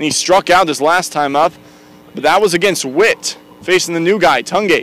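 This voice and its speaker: A man speaks loudly at a high pitch with fairly even intonation, while music plays in the background. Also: moderate pace. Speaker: play-by-play announcer. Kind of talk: live commentary.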